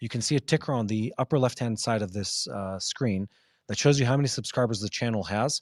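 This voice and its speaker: Very fast American-accented male speech at medium pitch, dry and close with no echo, in a very clean recording with a silent background. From Israel. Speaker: news show host. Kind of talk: live news Q&A broadcast. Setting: outdoors downtown Jerusalem, live.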